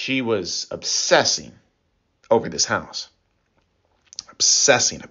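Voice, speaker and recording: Talking fairly slowly, a man speaks with an American accent. His pauses are long and frequent. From US Midwest, Illinois. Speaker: radio preacher. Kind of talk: sermon. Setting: radio program.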